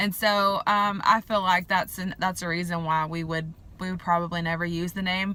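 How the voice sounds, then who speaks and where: A woman speaks in a strong Southern US accent with a bright, sharp tone. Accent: strong southern drawl. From US South. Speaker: vlogger. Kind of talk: casual vlog talk. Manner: casual with many fillers.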